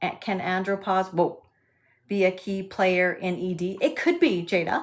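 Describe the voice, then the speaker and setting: A woman's medium-pitched voice with a slight Canadian accent. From Canada, Alberta. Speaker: sex and intimacy specialist. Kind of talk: live stream Q&A with chat. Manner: hesitant with frequent fillers.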